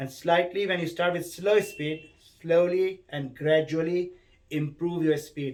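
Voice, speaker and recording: Speaking at a fairly slow pace, a man with a normal speaking voice has a fairly high pitch and ordinary pitch variation. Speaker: maths teacher. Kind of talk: tutorial.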